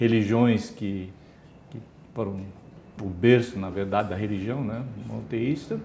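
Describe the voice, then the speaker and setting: Speaking slowly with a fairly low pitch and ordinary pitch variation, a man leaves long, frequent pauses, his loudness swinging widely amid audible room echo. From Brazil, São Paulo state interior. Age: 60s. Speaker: retired engineer and former executive. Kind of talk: interview.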